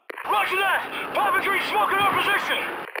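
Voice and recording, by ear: A man uses a put-on character voice at an extremely high pitch, bright and sharp in tone, with fairly even intonation, a moderate pace and faint background noise.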